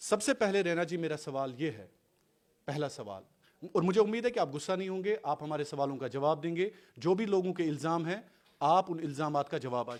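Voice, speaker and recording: Lively intonation and big swings in loudness mark a man's speech. He talks at a moderate pace with a fairly high pitch. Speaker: interviewer, journalist. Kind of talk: confrontational interview. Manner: loud, forceful.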